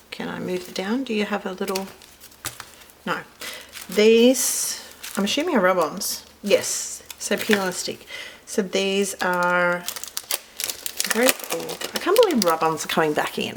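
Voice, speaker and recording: With an Australian accent and a medium pitch, a woman speaks with long, frequent pauses and ordinary pitch variation over noticeable background noise. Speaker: card-making crafter. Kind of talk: product unboxing tutorial. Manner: casual, chatty.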